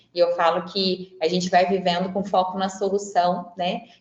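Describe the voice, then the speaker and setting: With noticeable background noise behind her, a woman talks at a moderate pace in a medium pitch. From Franca, interior of São Paulo state, Brazil. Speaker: psychologist and career coach. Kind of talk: webinar talk. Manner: conversational, frequent filler words.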